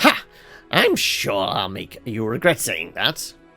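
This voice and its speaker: Projected and raised, a put-on character voice moves at a fairly slow pace over faint background music. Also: man, medium pitch for a man. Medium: game stream. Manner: theatrical, self-important.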